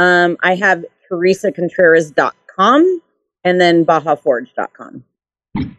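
The speech moves at a very slow pace. The sound is dry and close, with no echo. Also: woman, fairly low pitch for a woman, ordinary pitch variation. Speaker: custom vehicle painter and builder. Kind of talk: casual interview chat.

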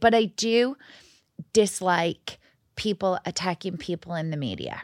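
A woman with an American accent at a medium pitch, on a very clean recording with a silent background and a dry, close sound with no echo. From outside the US. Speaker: podcast co-host. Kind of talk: casual chat. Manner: animated.

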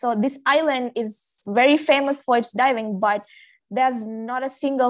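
A woman with a Maldivian accent speaks in a high-pitched voice. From Maldives. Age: 20s. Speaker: dive master. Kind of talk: casual chat.

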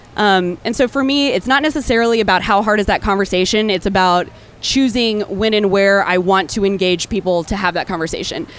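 A woman with an American accent and a plain, everyday voice speaks at medium pitch with ordinary pitch variation. Her pace is fairly quick, her loudness very even, and she hardly pauses at all. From Texas. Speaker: brewer. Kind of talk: live panel interview. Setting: stage with audience at festival.

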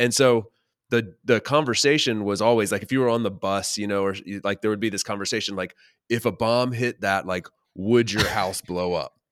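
In an American accent, a man with an unremarkable speaking voice talks at a fairly low pitch and a moderate pace with fairly even intonation, on a very clean recording with a silent background. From North Carolina. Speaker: podcaster. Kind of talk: casual chat. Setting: call.

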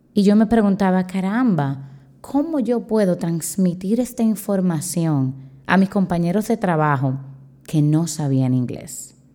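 A woman speaks at a fairly slow pace with a medium pitch. Her intonation is lively and her loudness very even. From Dominican Republic. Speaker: teacher and podcast host. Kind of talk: solo podcast talk.

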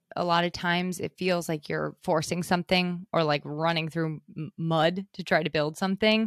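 A woman with a normal speaking voice and a fairly low pitch talks at a moderate pace. The sound is dry and close with no echo, on a very clean recording with a silent background. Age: 30s. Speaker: content writer and podcast host. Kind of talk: casual chat.

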